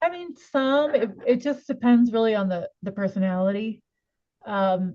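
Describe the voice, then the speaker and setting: Her tone is dark and mellow, with a fairly high pitch. The woman speaks at a moderate pace with ordinary pitch variation. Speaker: portrait photographer. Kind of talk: casual interview chat.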